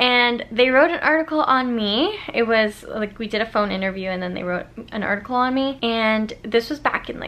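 Her tone is bright and sharp as this woman speaks. She keeps a moderate pace with hardly any pauses. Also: ordinary pitch variation. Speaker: vlogger. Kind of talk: casual vlog chat. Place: home room. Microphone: phone near.

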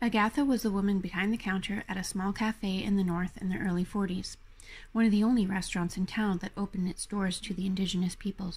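The delivery is very fast. There is some breathiness in the voice. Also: woman, medium pitch for a woman, fairly even intonation. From Yellowknife, Northwest Territories, Canada. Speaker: author and poet. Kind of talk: memoir reading.

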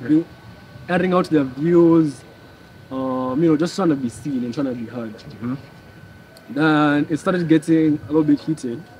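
With a Kenyan accent, a man speaks in a fairly high voice at a moderate pace. His pitch variation is ordinary, and light background noise is present. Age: young. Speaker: protester; interview guest. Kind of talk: casual chat.

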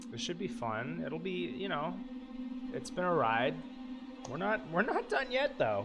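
A man is talking fairly slowly. Clear music can be heard behind him. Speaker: game streamer. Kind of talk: casual stream chat. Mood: playful, a bit grumpy. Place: home room. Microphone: headset.

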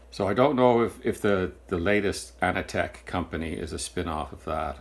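A man at a moderate pace, with vocal fry. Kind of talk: tutorial. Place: workshop.

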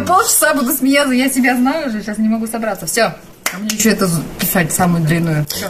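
Over noticeable background noise, a woman talks very fast at a fairly high pitch, her voice making very wide pitch swings. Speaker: TV news announcer. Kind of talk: casual talk between takes, behind the scenes. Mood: giggling, trying to compose herself. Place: booth. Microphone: studio mic.

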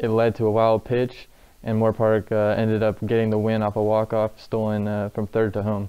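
A clear, smooth tone, dark and mellow. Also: man.

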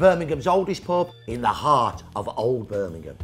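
Over music in the background, a man speaks at a moderate pace and a fairly high pitch. His voice rises and falls in very wide pitch swings. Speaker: historian. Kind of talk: interview answer.

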